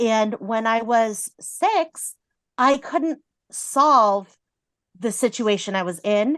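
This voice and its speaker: Against a quiet background, a woman with a fairly high pitch speaks at a very slow pace with lively intonation. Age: 30s. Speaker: counselor. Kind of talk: casual chat.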